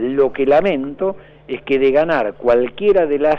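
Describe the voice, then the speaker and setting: The man's pitch is mid-range and varies in a normal way. He talks in a plain, everyday voice. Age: 50s. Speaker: political analyst. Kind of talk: radio interview.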